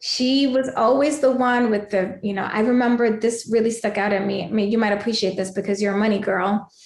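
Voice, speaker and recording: With a New York accent, a woman speaks in an animated tone at a fairly quick pace and a fairly high pitch, with hardly any pauses. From New York City (Queens, Bronx), Puerto Rican family. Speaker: life coach, mother, guest. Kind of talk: podcast interview, storytelling.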